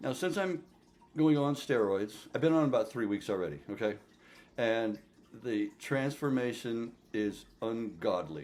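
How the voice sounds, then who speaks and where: A medium-pitched man speaks at a fairly slow pace with very wide pitch swings. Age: 50s. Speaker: fitness vlogger. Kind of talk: casual vlog monologue. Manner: animated.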